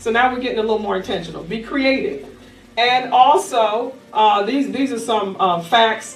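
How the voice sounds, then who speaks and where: A woman talks at a fairly quick pace with lively intonation, an animated tone and a high pitch. Noticeable background noise and audible room echo are present in the recording. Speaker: life coach. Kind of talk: workshop presentation to live audience.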